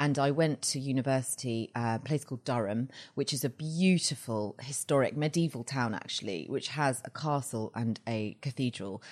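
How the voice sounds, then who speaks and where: A woman with a southern English accent speaks at a very deep, low pitch. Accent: southern English (British). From England, Surrey village near London. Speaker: fashion blogger and TV correspondent. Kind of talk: interview.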